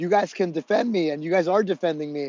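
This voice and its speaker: A man with a high voice talks loudly, his intonation fairly even. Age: 40s. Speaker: fitness livestreamer. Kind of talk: casual chat to livestream viewers during workout. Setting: livestream. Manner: projecting loudly; repetitive, filler-heavy.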